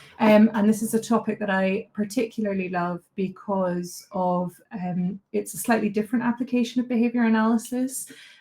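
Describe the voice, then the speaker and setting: At a moderate pace and with hardly any pauses, a woman speaks in a fairly high pitch with a somewhat breathy, dark, mellow tone and fairly even intonation. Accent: strong Scottish. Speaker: behaviour analyst, presenter. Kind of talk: online lecture.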